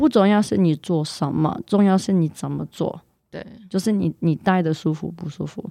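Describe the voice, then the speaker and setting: A woman speaks at a fairly low pitch with a dark, mellow tone, in a dry, close sound with no echo. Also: ordinary pitch variation, moderate pace. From Canada, of Polish descent. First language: not Chinese; learned Mandarin as an adult (speaking Chinese). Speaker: salsa dance teacher. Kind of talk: casual chat. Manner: halting, repeats words while searching for Chinese.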